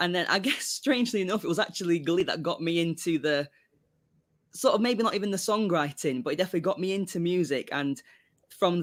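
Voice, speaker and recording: A man's high-pitched voice at a fairly quick pace, with ordinary pitch variation, on a very clean recording with a silent background. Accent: British. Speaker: songwriter. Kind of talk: casual interview chat. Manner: halting.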